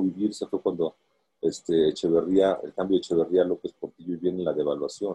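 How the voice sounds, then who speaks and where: A man talks at a fairly quick pace. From Mexico. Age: 60s. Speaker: long-distance swimmer and author. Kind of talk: interview.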